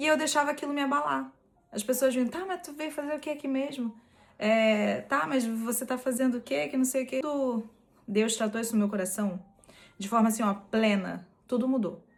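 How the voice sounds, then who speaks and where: With noticeable background noise, a woman with a strong Rio de Janeiro accent speaks at a fairly high pitch and a moderate pace, with lively intonation. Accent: strong carioca (Rio). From Brazil, Rio de Janeiro state (Nova Iguaçu). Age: 20s. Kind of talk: personal testimony.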